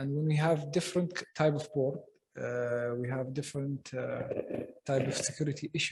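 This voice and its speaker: Somewhat breathy, a man speaks at a moderate pace with fairly high pitch and fairly even intonation. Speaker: government security official. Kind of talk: panel discussion answer. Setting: stage with audience. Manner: halting with many fillers.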